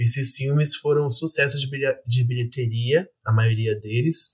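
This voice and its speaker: At a fairly slow pace, a man speaks at a medium pitch. His voice is somewhat breathy. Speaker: university student. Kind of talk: casual chat.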